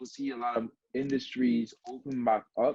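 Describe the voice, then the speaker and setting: A man speaks with a Guyanese accent. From Guyana. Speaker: journalist. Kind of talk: interview answer.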